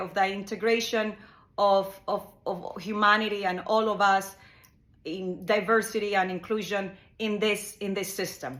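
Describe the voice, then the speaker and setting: Her voice carries a Spanish accent, and the woman speaks at a medium pitch. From Ecuador. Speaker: psychotherapist. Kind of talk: monologue explanation. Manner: halting, with fillers and repetitions.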